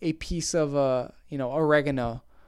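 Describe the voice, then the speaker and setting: On a very clean recording with a silent background, a man with a Canadian accent speaks at a very slow pace. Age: 20s. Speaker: podcast host. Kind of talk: casual solo monologue. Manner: animated, chatty; laughs often, self-deprecating.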